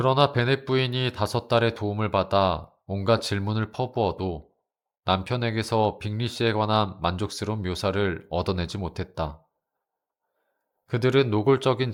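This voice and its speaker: Speaking slowly-ish in a plain, everyday voice, a man keeps a fairly low pitch with ordinary variation. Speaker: audiobook narrator. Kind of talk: audiobook reading of a classic novel. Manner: calm, soothing.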